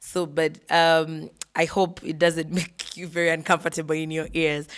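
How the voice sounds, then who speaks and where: In a fairly low, monotone, flat voice, a woman speaks at a moderate pace. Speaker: real estate dealer and business vlogger. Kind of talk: casual talk to camera. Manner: hesitant, many fillers and repeats.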